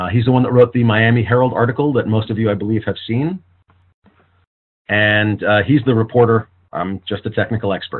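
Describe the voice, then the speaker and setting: A man speaks at a fairly quick pace and medium pitch, with ordinary pitch variation. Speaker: forensic audio technical expert. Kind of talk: virtual press conference. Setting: online video conference call. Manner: fast.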